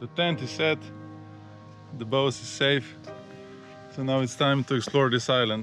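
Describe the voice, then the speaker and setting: Over faint background music, a man talks at a moderate pace, the sound dry with no echo. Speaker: sailing vlogger. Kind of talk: casual vlog chat. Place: open country. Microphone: phone near.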